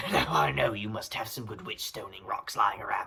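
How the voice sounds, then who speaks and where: A put-on character voice. It sounds raspy. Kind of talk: comedy sketch dialogue. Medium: stage.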